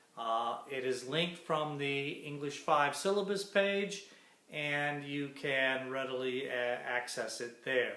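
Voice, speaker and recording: Noticeable background noise and audible room echo accompany very slow speech. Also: man. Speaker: college instructor. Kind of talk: recorded class lecture. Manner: hesitant, many fillers.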